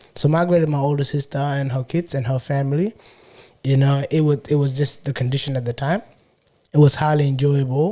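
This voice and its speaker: This man has a South Sudanese Australian accent and a fairly high, somewhat breathy voice. His tone is dark and mellow, with fairly even intonation. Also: fairly quick pace. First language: Shilluk. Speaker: podcaster and entrepreneur. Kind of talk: casual interview chat.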